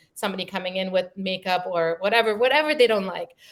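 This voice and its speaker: The speaker has a German accent and ordinary pitch variation. The pace is very fast. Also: woman. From Germany (born in Iran). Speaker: creative executive. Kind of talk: interview. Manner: hesitant, many fillers.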